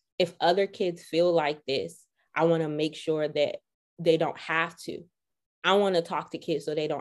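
Someone with an American accent speaks at a moderate pace in a flat, monotone way, on a very clean recording with a silent background. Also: woman. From Washington, D.C. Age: 30s. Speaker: clinical psychologist. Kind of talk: casual chat.

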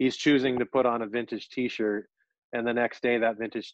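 A man's medium-pitched voice in a monotone, flat intonation at a fairly quick pace. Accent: American. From Orange County, California. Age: 40s. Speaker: vintage clothing reseller and live streamer. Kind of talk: casual interview chat.

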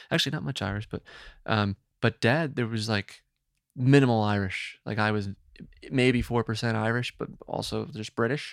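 In an unremarkable speaking voice, a man talks at a fairly quick pace and fairly low pitch with ordinary pitch variation, in a dry, close sound with no echo. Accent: American. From New Jersey. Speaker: co-working space founder. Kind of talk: casual chat.

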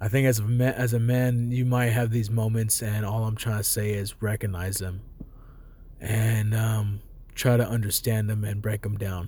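Fairly low-pitched male voice at a moderate pace, with monotone, flat intonation. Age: 20s. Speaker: podcast host. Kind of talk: casual solo monologue. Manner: monotone, casual, halting with fillers.

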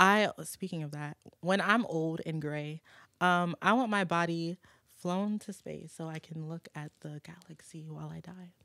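With an American accent, a normal speaking voice moves at a fairly slow pace with fairly even intonation. The sound is dry and close, with no echo. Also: woman, fairly low pitch for a woman. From New Orleans, then Michigan and Virginia. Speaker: recording artist. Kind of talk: casual chat.

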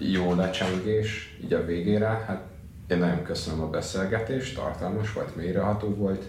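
With a very deep, low pitch and fairly even intonation, a man talks at a moderate pace amid noticeable background noise and audible room echo. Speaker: student podcast host. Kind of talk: interview.

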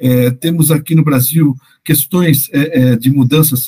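The voice has a dark, mellow tone, is somewhat breathy, and the sound is dry and close with no echo. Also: man. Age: 50s. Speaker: podcast host on parenting education. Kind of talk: interview. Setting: podcast. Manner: hesitant, repeats words.

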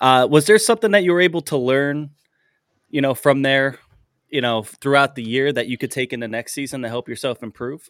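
A man with an American accent speaks in a plain, everyday voice at a fairly quick pace, his pitch fairly high with ordinary variation, on a very clean recording with a silent background and a dry, close sound with no echo. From US, central Pennsylvania. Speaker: podcast host. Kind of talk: interview.

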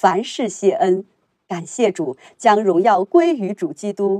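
A woman talks at a fairly slow pace in a dark, mellow tone, the sound dry and close with no echo. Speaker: church member reading testimonies. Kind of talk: reading aloud.

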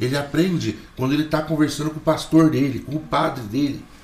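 A man speaks at a fairly quick pace and a fairly high pitch. His voice is somewhat breathy. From Mogi das Cruzes, São Paulo state, Brazil. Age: 40s. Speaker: Portuguese teacher. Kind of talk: casual chat.

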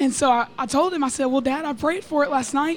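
A high-pitched woman's voice with an American accent at a moderate pace. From Texas. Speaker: student. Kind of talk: testimony. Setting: recorded in a busy church building.

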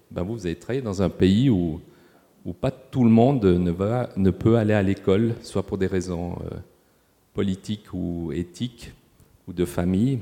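Dark, mellow tone with ordinary pitch variation, a fairly slow pace, and long, frequent pauses. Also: man, very deep, low pitch for a man. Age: 60s. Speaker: hospital sustainability manager. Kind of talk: panel discussion. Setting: stage with audience.

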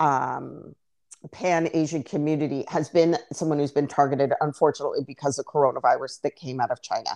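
Over a quiet background, a woman speaks at a very deep, low pitch. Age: 40s. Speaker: podcast co-host. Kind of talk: casual chat.

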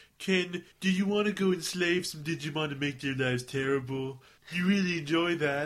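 A man speaks at a moderate pace in a put-on character voice. His pitch is fairly high.

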